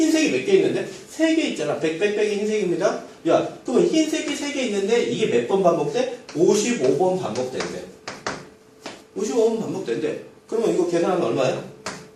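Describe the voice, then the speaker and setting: A man speaks at a fairly quick pace in a high voice with very wide pitch swings. Noticeable background noise and audible room echo are present. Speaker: math teacher. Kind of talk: lecture. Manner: animated.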